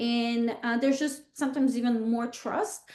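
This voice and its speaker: Against a quiet background, a woman with a Bulgarian accent speaks at a high pitch and a fairly slow pace. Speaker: real estate agent. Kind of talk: interview. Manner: halting, many fillers.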